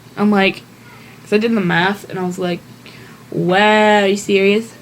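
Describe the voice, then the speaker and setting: A woman's flat, monotone delivery at a moderate pace over noticeable background noise. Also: medium pitch for a woman. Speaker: math tutorial maker. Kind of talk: tutorial. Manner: casual, self-correcting.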